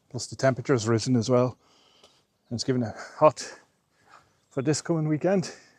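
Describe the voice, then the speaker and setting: The man keeps a moderate tempo, and his pitch varies in a typical way. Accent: Irish. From Ireland. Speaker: travel vlogger. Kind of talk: casual vlog narration. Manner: soft-spoken.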